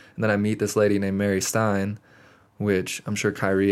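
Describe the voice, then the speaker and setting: Recorded very cleanly against a silent background, a man speaks in a normal speaking voice, fairly low in pitch, with fairly even intonation at a moderate pace. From Montana. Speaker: podcast guest. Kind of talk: casual chat. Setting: studio.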